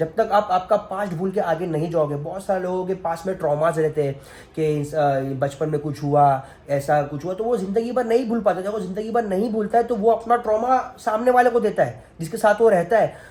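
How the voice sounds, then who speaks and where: Using lively intonation, a man with a high pitch speaks at a moderate pace. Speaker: family vlogger. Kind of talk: personal vlog monologue. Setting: at home.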